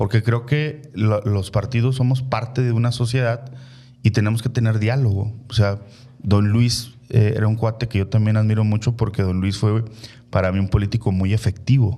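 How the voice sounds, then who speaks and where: Somewhat breathy and dark, mellow in tone, a man speaks with a northern Mexican accent and fairly even intonation. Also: medium pitch for a man, moderate pace. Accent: northern Mexican (Chihuahua) accent, kept. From Chihuahua, northern Mexico. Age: 40s. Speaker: politician. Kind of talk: interview conversation. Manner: hesitant, many fillers.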